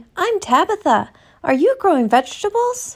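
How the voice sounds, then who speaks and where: A squeaky, put-on character voice from a woman, pitched extremely high, with very wide pitch swings at a moderate pace on a very clean recording with a silent background. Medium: read story. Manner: innocent, playful.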